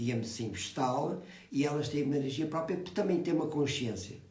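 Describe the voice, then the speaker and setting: Over noticeable background noise and audible room echo, a man talks fairly quickly with lively intonation. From Portugal. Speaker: phytotherapist. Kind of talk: explanatory talk. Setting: live video call. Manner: soft-spoken; halting. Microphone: too quiet.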